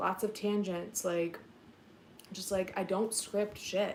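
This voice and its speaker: Fairly even intonation from a woman of medium pitch at a fairly slow pace. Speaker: YouTuber and podcast host. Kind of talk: casual live-stream chat. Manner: rambling with tangents.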